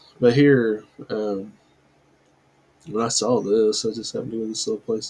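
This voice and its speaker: A mumbling man at a moderate pace, medium-pitched with a dark, mellow tone and fairly even intonation. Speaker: religious video commentator. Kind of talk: casual commentary.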